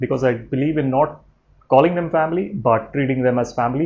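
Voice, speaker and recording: This man has a medium pitch. His intonation stays fairly even. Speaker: vlogger. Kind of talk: personal vlog. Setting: at home, late evening. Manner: quiet, low-key; hesitant, many fillers.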